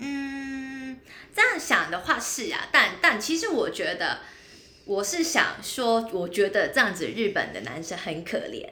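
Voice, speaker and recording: Her high voice raised and projected, a woman speaks at a fairly slow pace with very wide pitch swings, amid audible room echo and noticeable background noise. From Hong Kong. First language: Cantonese (speaking Chinese). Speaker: podcast co-host. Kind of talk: casual chat.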